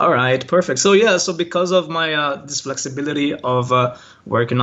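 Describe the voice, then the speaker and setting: In a Brazilian accent, a man with a fairly high voice speaks at a moderate pace with lively intonation. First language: Portuguese. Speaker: online language teacher. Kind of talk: interview. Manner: hesitant, many fillers.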